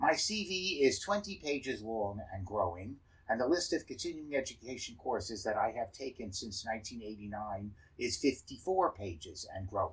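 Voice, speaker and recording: The voice is somewhat breathy, with very wide pitch swings. It moves at a moderate pace. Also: man, medium pitch for a man. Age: 70s. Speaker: dentist and educator. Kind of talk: scripted talk.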